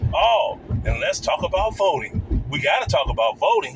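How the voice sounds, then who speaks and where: The speaker has an American accent and talks at a moderate pace. Noticeable background noise is present. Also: man. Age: 60s. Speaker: YouTube commentator. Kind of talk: reaction video commentary. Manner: animated.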